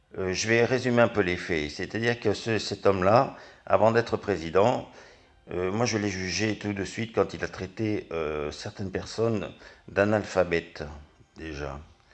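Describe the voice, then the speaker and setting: The speech moves at a fairly slow pace with ordinary pitch variation against a quiet background. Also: man, fairly low pitch for a man. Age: 60s. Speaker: angry citizen vlogger. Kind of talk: political rant. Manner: halting.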